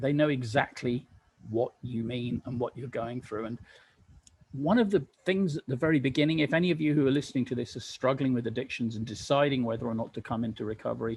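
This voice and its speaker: A man's voice, a little airy, moves along at a rather brisk clip. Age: 60s. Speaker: recovering addict sharing experience. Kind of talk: testimony.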